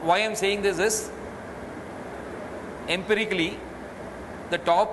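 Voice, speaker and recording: Speaking with an Indian accent, a man talks at a high pitch and a fairly slow pace. His intonation is fairly even, and there is noticeable background noise. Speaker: retail entrepreneur. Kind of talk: interview answer.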